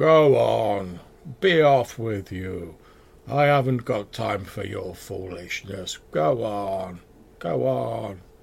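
A man puts on a character voice, talking at a very slow pace and a fairly low pitch. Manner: slow, dismissive, gruff.

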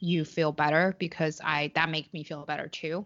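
A woman speaks in a monotone with a very deep, low pitch and a Chinese accent. Her intonation stays flat throughout. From China. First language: Mandarin Chinese. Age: 20s.

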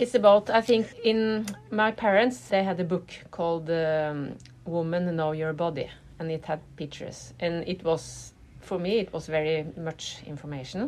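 A woman speaks with a Norwegian accent. Her pitch is fairly low and varies in an ordinary way. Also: moderate pace. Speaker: artist and activist. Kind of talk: interview. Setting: hotel room. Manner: halting.

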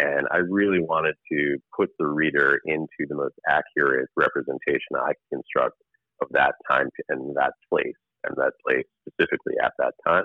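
With an American accent, a man talks at a moderate pace in an extremely low pitch with fairly even intonation and a dry, close sound with no echo.

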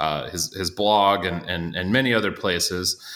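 A man with an ordinary speaking voice and an American accent, fairly low in pitch, with ordinary pitch variation and a moderate pace. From Iowa. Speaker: baseball podcast host. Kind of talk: casual chat.

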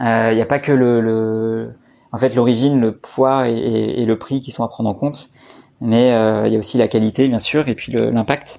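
A man speaks with a dark, mellow tone at a moderate pace. His intonation stays monotone and flat. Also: medium pitch for a man. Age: 30s. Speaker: entrepreneur, co-founder of a honey company. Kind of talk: interview. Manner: halting, many fillers and repetitions.

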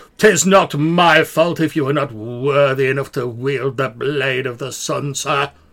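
A man's put-on character voice at a fairly high pitch, moderately paced with hardly any pauses. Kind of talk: archaic, formal, aloof. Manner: haughty.

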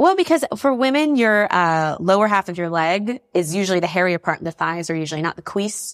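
A woman with an American accent talks at a fairly quick pace in a medium pitch, with lively intonation and hardly any pauses; she has a plain, everyday voice. The sound is dry and close with no echo, a very clean recording with a silent background. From US South, North Carolina. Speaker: stand-up comedian. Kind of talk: casual chat. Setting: home kitchen.

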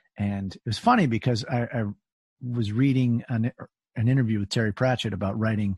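A man talks at a very fast pace with a medium pitch and a somewhat breathy voice. The sound is dry and close with no echo, over a quiet background. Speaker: podcast host. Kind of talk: casual interview conversation.

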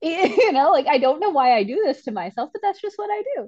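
Pitch swings very widely in this fairly quick delivery with an American accent. The sound is dry and close, with no echo. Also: woman. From Michigan, Metro Detroit. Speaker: civil engineer. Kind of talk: casual chat.

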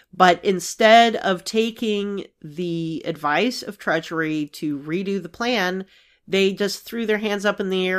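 Here is a woman with an unremarkable speaking voice, medium pitch and ordinary pitch variation, speaking at a fairly slow pace. The recording is very clean, with a silent background. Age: 40s. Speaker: actuary podcast host. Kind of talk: solo explainer talk.

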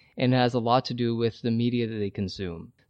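An unremarkable speaking voice with ordinary pitch variation comes through dry and close with no echo, over a quiet background. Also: man. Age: 30s. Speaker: documentary filmmaker. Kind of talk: casual chat.

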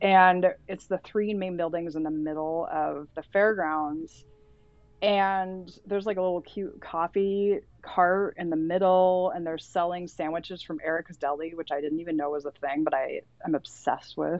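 A plain, everyday voice from a woman with an American accent, fairly low in pitch, at a moderate pace with fairly even intonation. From Santa Cruz, California. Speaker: literary editor. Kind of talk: casual chat.

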